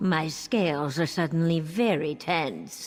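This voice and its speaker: In a put-on character voice with a pompous, theatrical tone, the speaker moves at a fairly slow pace as faint music plays in the background. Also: female-sounding voice, very deep, low pitch for a woman. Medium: video game.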